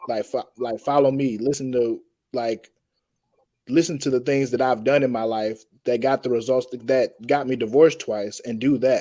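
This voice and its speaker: A man speaks in a medium-pitched voice with an American accent. His dark, mellow tone keeps a fairly even intonation. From Atlanta, Georgia, US South. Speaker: podcast guest. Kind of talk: panel discussion. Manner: slow.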